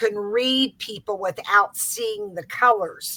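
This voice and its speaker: A woman speaks in a plain, everyday voice with an American accent. Her pitch is fairly high and her pace fairly slow. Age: 60s. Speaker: psychic aura reader. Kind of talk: interview.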